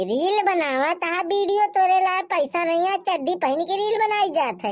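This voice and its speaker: Faint music plays behind a put-on character voice delivered at a fairly slow pace. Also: woman. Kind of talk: rustic comic sketch. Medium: comedy sketch. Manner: naive, rambling.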